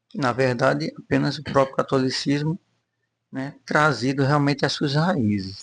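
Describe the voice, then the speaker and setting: A man with an unremarkable speaking voice talks at a fairly slow pace. His pitch is fairly high, with ordinary variation. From Rio de Janeiro, Brazil. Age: 60s. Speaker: church member giving testimony. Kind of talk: testimony interview.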